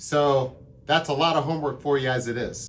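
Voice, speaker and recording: With an enthusiastic tone, a man speaks at a moderate pace in a somewhat breathy, fairly high voice. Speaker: drum teacher. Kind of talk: tutorial. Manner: casual, enthusiastic.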